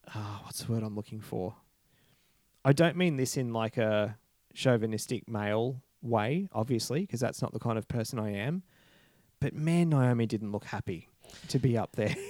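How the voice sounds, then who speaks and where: A man's medium-pitched voice in an Australian accent, moderate pace with long, frequent pauses, ordinary pitch variation, and a dry, close sound with no echo. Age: 30s. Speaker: podcast host. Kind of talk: casual chat. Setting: remote call.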